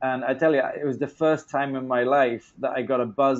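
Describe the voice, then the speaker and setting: A man speaks with a southern English accent. His pace is fairly quick. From England, London area. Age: 40s. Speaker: film producer, interviewer. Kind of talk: interview. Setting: phone call.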